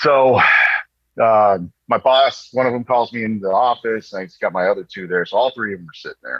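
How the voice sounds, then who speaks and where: A man with an American accent speaks at a medium pitch, showing ordinary pitch variation and big swings in loudness. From Texas and New York. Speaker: Marine veteran. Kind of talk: casual storytelling interview. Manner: animated.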